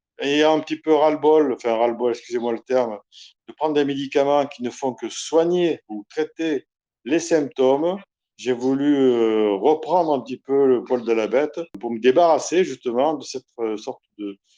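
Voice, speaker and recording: Speaking at a moderate pace, a man with a fairly high pitch and a dark, mellow tone uses ordinary pitch variation, recorded dry and close with no echo against a quiet background. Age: 60s. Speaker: retired career soldier giving a client testimonial. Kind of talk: testimony. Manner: hesitant, many filler sounds.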